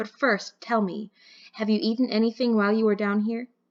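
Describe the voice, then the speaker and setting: A woman puts on a character voice, fairly high in pitch and delivered at a fairly quick pace. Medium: read story.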